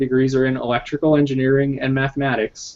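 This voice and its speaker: A man speaks with an American accent. His pitch runs fairly high. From New Jersey. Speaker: game developer. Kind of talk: casual interview chat. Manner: frequent filler hesitations.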